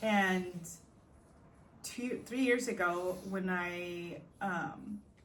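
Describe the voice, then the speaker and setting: A woman speaks at a very slow pace, medium in pitch with ordinary pitch variation. Room echo is audible. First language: not English. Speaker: podcast host. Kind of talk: personal reflective monologue. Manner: hesitant, many fillers.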